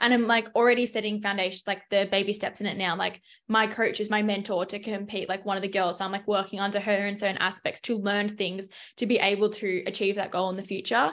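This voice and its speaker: A woman speaks very fast in an Australian accent, her intonation flat and monotone. The background is quiet. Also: medium pitch for a woman. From Melbourne, Australia. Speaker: fitness coach. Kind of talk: casual chat.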